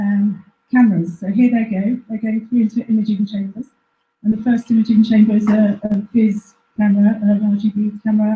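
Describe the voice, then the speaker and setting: Speaking at a fairly quick pace, a woman with a fairly high pitch and a dark, mellow tone sounds somewhat breathy, her intonation monotone and flat. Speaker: researcher at a plant phenotyping facility. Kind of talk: presentation. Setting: live-streamed talk to an audience. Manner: halting.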